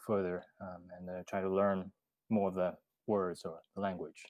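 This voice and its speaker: A man with a Chinese accent, fairly low-pitched with a dark, mellow tone, at a fairly slow pace, on a very clean, dry, close recording with a silent background and no echo. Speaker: bot developer. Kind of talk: casual podcast interview. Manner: halting, many fillers.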